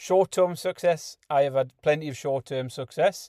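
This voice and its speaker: In a Geordie accent, a man speaks at a fairly quick pace with a dark, mellow tone and fairly even intonation, on a very clean recording with a silent background and a dry, close sound with no echo. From northeast England, Newcastle upon Tyne. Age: 40s. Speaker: podcast host. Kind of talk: casual monologue.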